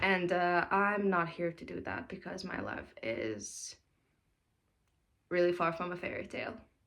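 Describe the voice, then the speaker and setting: Speaking at a fairly slow pace with long, frequent pauses, a woman with a non-native accent uses a fairly low pitch, lively intonation and big swings in loudness. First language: not English. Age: 20s. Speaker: mom vlogger. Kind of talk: casual vlog talk. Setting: daughter's room at home. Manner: hesitant with fillers.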